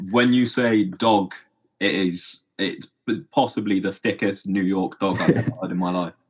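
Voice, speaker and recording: This man has an English accent and a fairly low pitch. His intonation is fairly even. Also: moderate pace. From England. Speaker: podcast host. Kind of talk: podcast interview.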